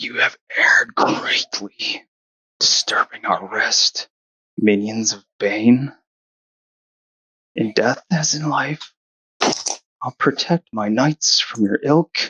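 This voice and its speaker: Using a put-on character voice, a man speaks in a raspy tone at a very slow pace, with long, frequent pauses. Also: fairly high pitch for a man. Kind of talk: archaic, formal. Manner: solemn, threatening.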